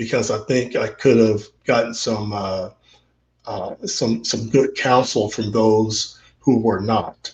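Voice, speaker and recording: Somewhat breathy, a man speaks at a medium pitch and a very slow pace with fairly even intonation. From Central Texas. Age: 60s. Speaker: interview guest, father. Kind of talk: casual interview. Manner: halting, many fillers and repetitions.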